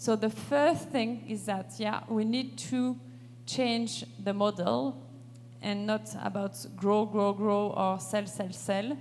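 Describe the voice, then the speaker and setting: A somewhat breathy woman in a French accent speaks very slowly at medium pitch, her voice making very wide pitch swings. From France. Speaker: panelist on sustainability. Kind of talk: panel discussion.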